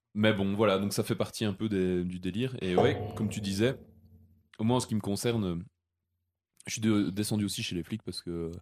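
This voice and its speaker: In a very clean recording with a silent background, a man with a fairly low pitch speaks at a moderate pace with fairly even intonation and long, frequent pauses. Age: 30s. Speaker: podcast host, seasonal ski resort worker. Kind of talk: casual chat.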